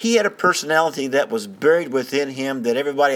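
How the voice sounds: A man with lively intonation and a medium pitch. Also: fairly bright tone.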